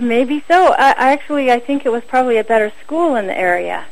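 Speaking at a moderate pace with an American accent, a woman uses a normal speaking voice with ordinary pitch variation. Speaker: war tax resister. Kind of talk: casual interview.

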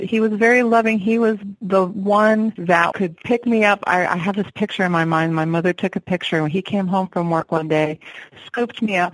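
Speaking at a moderate pace, a woman with an ordinary speaking voice holds a medium pitch and ordinary pitch variation, in a dry, close sound with no echo. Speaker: singer-songwriter.

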